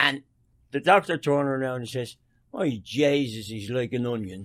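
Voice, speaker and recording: A man talks at a medium pitch. He has a strong Dublin accent. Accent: Irish, Dublin, still strong. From Dublin, Ireland. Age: 70s. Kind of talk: casual interview, storytelling.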